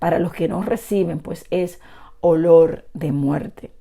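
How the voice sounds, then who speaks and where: In a dark, mellow tone, a woman talks fairly slowly. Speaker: bible teacher. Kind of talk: sermon. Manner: trying to speak louder.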